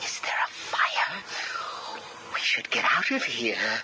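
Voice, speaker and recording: A cartoonish character voice comes through at a fairly slow pace. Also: man. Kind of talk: unhinged cartoon villain. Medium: machinima. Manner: nervous, stammering, rhyming.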